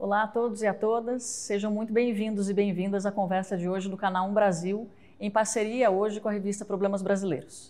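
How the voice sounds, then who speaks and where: A woman's dark, mellow voice runs at a fairly quick pace in a monotone, flat delivery. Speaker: interviewer, host. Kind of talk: interview introduction and question. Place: studio. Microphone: lapel.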